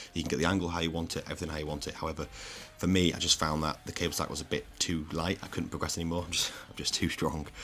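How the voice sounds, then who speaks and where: Very deep and low in pitch, a man talks at a very fast pace in a bright, sharp tone with monotone, flat intonation. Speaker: fitness coach and natural bodybuilder. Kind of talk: casual vlog; voiceover narration. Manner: quiet.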